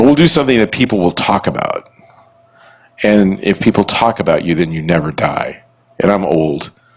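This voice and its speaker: Intonation lively, a man speaks at a moderate pace and fairly low pitch. He takes long, frequent pauses. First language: Italian. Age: 60s. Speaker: podcast host and music venue owner. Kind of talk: live podcast recording before an audience. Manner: rambling with many false starts and repetitions.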